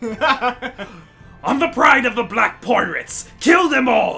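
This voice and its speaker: Faint music plays behind a put-on character voice that speaks at a very slow pace and a fairly high pitch. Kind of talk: theatrical, exaggerated. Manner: gruff, shouting, commanding.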